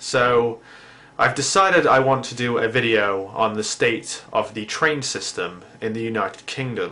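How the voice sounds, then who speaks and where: A man with an English accent speaks at a medium pitch. His pace is fairly slow. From England. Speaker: YouTube vlogger. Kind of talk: comedic vlog monologue.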